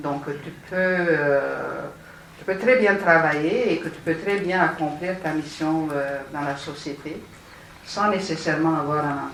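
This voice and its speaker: A very deep, low female voice at a very slow pace, ordinary pitch variation, audible room echo and noticeable background noise. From Romania. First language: Romanian (speaking French). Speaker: city councillor, panelist. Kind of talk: panel discussion. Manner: halting, many hesitations.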